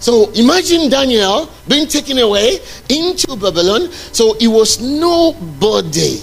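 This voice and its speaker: Over noticeable background noise, a man speaks at a fairly slow pace with an extremely high pitch, very wide pitch swings and very even loudness. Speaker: preacher. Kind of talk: sermon. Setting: church. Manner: animated.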